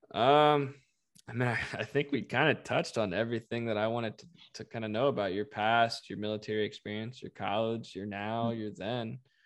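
An ordinary speaking voice moves at a fairly quick pace with fairly even intonation. Its loudness swings a lot. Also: man, medium pitch for a man. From North Carolina (Raleigh). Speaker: podcast host. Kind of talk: interview conversation.

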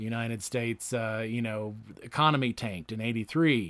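In a very clean recording with a silent background, a man with a normal speaking voice talks fairly quickly at a medium pitch with ordinary pitch variation. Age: 40s. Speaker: podcast host. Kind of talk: casual chat.

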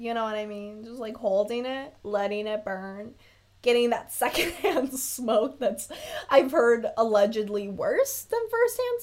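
A woman with a high voice talks at a fairly slow pace in an animated tone. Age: 20s. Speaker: solo podcaster. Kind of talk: casual monologue.

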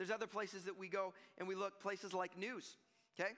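Raised, projected speech from a man, bright and sharp in tone and high in pitch. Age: 40s. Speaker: pastor. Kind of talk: sermon. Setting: church. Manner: animated.

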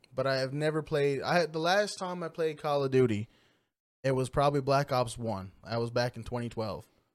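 In a very clean recording with a silent background, a man with a plain, everyday voice talks at a fairly quick pace, medium in pitch with ordinary pitch variation. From Newfoundland, Canada (small community). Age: 20s. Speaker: gamer and streamer. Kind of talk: casual interview chat.

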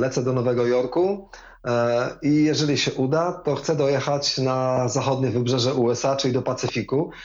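A man talks fairly quickly at a medium pitch with ordinary variation and a relaxed tone. His loudness stays very even, and audible room echo is present. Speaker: former politician and amateur cyclist. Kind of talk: interview.

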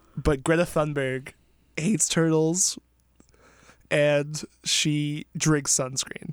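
With long, frequent pauses, a man in an American accent speaks very slowly at a fairly high pitch, keeping his intonation fairly even. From US Northeast, New York (Somers). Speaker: podcast guest. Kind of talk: casual chat.

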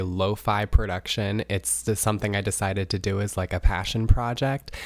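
A man talks at a moderate pace in a fairly low pitch, with a plain, everyday voice. The recording is very clean, with a silent background. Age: 20s. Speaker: podcast host and nurse. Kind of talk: podcast trailer monologue.

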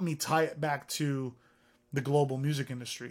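A man's fairly high voice in a Californian accent, on a very clean recording with a silent background. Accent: Californian American English. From US, San Francisco Bay Area. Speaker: music tech founder and CEO. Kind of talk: interview. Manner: animated.

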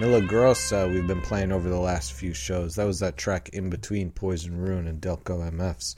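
Music plays behind a man with an American accent and a very deep, low pitch. He talks with hardly any pauses. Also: ordinary pitch variation, moderate pace. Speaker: punk radio host. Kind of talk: radio DJ patter, holiday sign-off. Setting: radio studio show. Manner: jokey, laughing, upbeat; casual, loose, swearing.

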